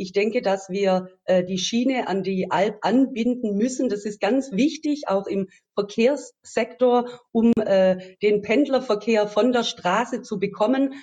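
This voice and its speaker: A woman's fairly high voice, dark and mellow in tone, at a very slow pace with ordinary pitch variation. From Swabia, Baden-Württemberg (Metzingen). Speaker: politician, election candidate. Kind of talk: interview. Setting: video call. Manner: hesitant with many fillers.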